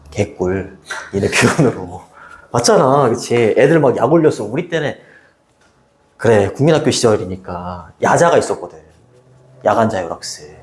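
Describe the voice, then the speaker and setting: A man speaks at a medium pitch and a moderate pace, with very wide pitch swings. He leaves long, frequent pauses. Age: 60s. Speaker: high school English teacher. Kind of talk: casual chat with students. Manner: casual, repetitive.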